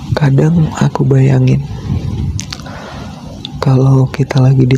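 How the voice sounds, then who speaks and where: A man speaks with very even loudness and long, frequent pauses. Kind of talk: ASMR boyfriend roleplay sleep call. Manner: slow, intimate.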